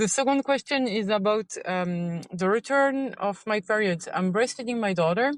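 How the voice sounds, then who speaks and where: A woman with a French accent and a fairly high pitch talks at a moderate pace, with ordinary pitch variation and hardly any pauses. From France. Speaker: listener caller, mother. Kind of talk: recorded voice message question.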